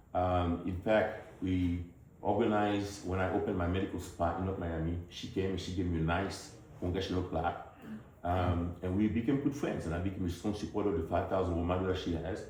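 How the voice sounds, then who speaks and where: With a strong Haitian accent, a man with a very deep, low pitch speaks at a fairly quick pace and fairly even intonation, with audible room echo and noticeable background noise. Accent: Haitian, heavy. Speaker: politician, physician. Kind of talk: campaign speech to town hall audience.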